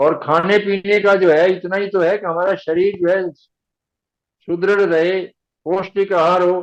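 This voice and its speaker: The man's voice is high in pitch with monotone, flat intonation. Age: 80s+. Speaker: author of spiritual books. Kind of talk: interview about spiritual teachings.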